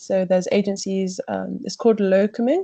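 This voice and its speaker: In a British accent, a woman of medium pitch speaks at a fairly quick pace with fairly even intonation, a dark, mellow tone and a somewhat breathy quality against a quiet background. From UK. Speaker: junior doctor. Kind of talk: interview.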